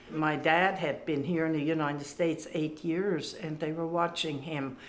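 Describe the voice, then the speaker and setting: A woman speaks at a moderate pace in a very deep, low pitch. Her intonation is monotone and flat, with audible room echo. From Germany (rural farm). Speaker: WWII survivor. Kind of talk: testimony. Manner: halting.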